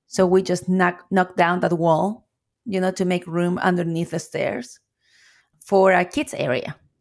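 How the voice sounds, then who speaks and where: In a Chilean accent, a woman speaks at a fairly slow pace. Her pitch is medium, with ordinary pitch variation. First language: Spanish. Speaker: coffee shop owner. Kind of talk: interview.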